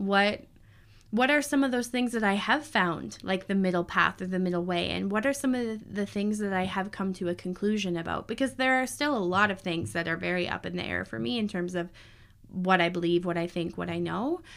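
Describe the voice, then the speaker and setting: A woman speaks in an ordinary speaking voice at medium pitch. Her intonation is lively and her pace fairly quick. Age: 30s. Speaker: podcast host, astrologer and human design guide. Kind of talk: casual solo monologue.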